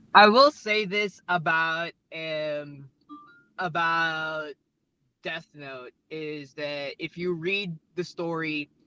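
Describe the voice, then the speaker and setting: The speaking is very slow. Background music plays throughout. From Philippines. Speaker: pro wrestler. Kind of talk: casual podcast interview. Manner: halting, many fillers and restarts.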